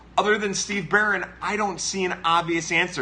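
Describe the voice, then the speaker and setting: The man's fairly quick speech comes with noticeable background noise behind it. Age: 30s. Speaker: baseball podcast host. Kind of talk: live-stream chat answering viewer comments. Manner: fast.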